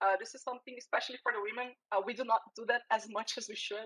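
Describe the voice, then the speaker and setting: A woman with a Brazilian accent speaks at a fairly quick pace in a bright, sharp tone at a high pitch. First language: Portuguese. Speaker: security professional. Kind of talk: interview. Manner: halting, repeats words.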